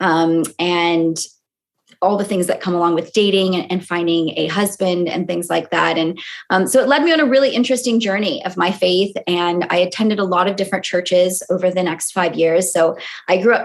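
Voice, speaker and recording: In an American accent, a woman with an ordinary speaking voice talks at a fairly quick pace with ordinary pitch variation. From California, US. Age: 30s. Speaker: sociologist and author. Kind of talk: podcast interview.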